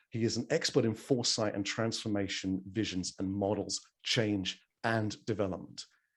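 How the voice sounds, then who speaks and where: A man with an English accent and a fairly low pitch speaks at a moderate pace with ordinary pitch variation. The recording is very clean, with a silent background. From England. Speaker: event host. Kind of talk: event introductions.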